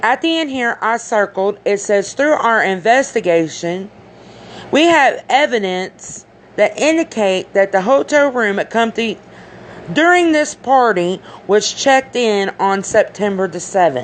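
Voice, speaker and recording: Over noticeable background noise, the voice proceeds at a fairly slow pace. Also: woman, fairly high pitch for a woman. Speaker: commentary vlogger. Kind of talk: casual vlog commentary. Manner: halting; animated.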